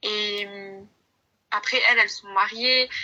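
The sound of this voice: A woman's bright, sharp tone at a slow pace, with fairly even intonation.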